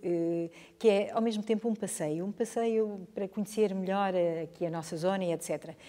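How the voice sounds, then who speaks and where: A woman's dark, mellow tone at medium pitch and a moderate pace. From northern Portugal, Chaves. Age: 60s. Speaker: history teacher. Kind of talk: interview testimony. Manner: hesitant, repetitive.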